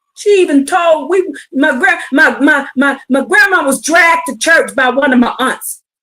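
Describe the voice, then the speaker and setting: A woman's shouting, raised and projected voice, high in pitch and bright and sharp in tone, at a moderate pace with hardly any pauses and ordinary pitch variation. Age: 50s. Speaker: online preacher. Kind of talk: livestream religious teaching. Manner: loud, yelling.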